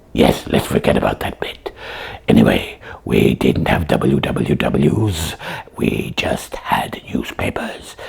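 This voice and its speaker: In a cartoonish character voice, a man speaks with a raspy, very deep, low pitch at a fairly slow pace. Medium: puppet.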